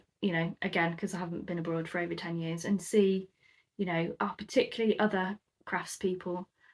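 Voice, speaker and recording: A woman in a British accent, medium in pitch, at a moderate pace. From UK, moved around (Scotland, South Coast). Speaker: crafter and YouTuber. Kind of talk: casual chat to camera. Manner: hesitant, many ums.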